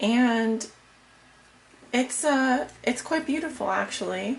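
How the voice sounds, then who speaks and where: Quietly and at a fairly slow pace, a woman talks with very wide pitch swings. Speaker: tarot reader. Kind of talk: tarot reading.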